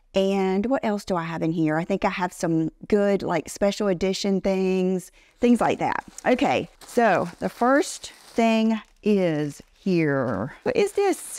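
A woman at a very slow pace, lively intonation, dry sound with no echo. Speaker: fashion vlogger. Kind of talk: casual vlog chat. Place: office. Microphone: lapel.

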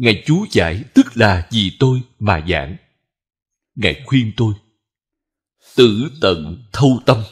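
A man talks at a very slow pace with long, frequent pauses, his somewhat breathy voice swinging very widely in pitch. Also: medium pitch for a man. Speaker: Buddhist monk teacher. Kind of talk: sermon.

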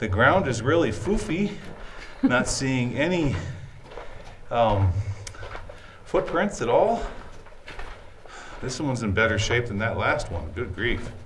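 A man at a fairly slow pace with very wide pitch swings and long, frequent pauses, over light background noise. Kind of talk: exploration commentary. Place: tunnel cave. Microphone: phone near.

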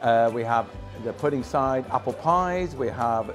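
Clear music plays in the background as the speaker talks at a fairly slow pace. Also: man. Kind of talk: interview answer. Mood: proud, friendly promotion. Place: cafe. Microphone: lapel.

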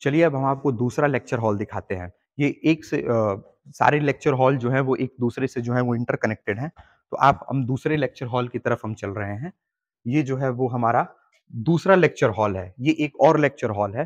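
A man speaks at a moderate pace and a medium pitch with ordinary pitch variation.

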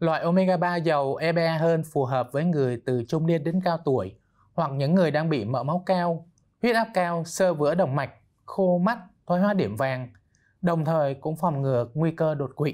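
Against a quiet background, a man speaks at a moderate pace in a fairly high pitch, with ordinary pitch variation and very even loudness. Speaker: doctor; guest. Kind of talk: expert interview. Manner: formal. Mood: calm, explanatory. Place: studio. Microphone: lapel.

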